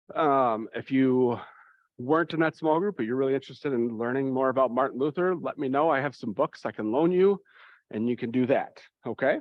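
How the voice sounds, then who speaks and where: At a fairly quick pace, a man speaks at medium pitch with ordinary pitch variation and an unremarkable speaking voice. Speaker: church youth confirmation leader. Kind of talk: parent information meeting.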